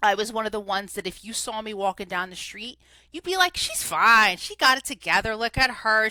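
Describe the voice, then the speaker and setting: A woman with a New Jersey accent, a bright, sharp, animated tone and a very clean recording with a silent background. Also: dry, close sound with no echo. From New Jersey, US. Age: 40s. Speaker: recovery coach. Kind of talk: interview testimony. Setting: podcast studio.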